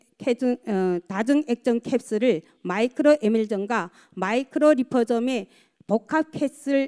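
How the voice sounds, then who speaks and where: Against a quiet background, a woman speaks at a very slow pace. Her high voice has lively intonation. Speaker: product presenter at a sales seminar; presenter. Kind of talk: sales pitch. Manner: halting. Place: hall. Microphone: handheld.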